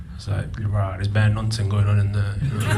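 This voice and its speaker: A man speaks at a very fast pace and medium pitch. Audible room echo and noticeable background noise come through. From northern England, Burnley (Lancashire), moved from Pakistan at eight. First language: Punjabi. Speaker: comedian. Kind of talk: stand-up. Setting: stage with audience.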